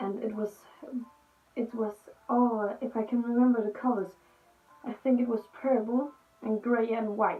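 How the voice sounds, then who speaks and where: Her pitch fairly high, a woman with a Danish accent speaks at a fairly slow pace. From Denmark. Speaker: youtuber. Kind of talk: storytelling vlog. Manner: halting.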